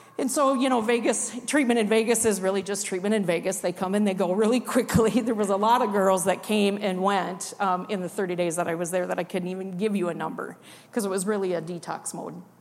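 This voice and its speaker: A woman with a Midwestern American accent at a very fast pace, medium pitch, ordinary pitch variation and hardly any pauses. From Iowa, rural. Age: 50s. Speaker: recovering addict. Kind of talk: testimony. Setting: church.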